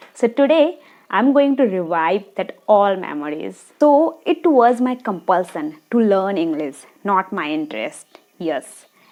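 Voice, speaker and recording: Speaking very slowly in a Bengali accent, a woman lets her pitch swing very widely. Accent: Indian (Bengali). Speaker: video blogger. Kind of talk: personal story to camera.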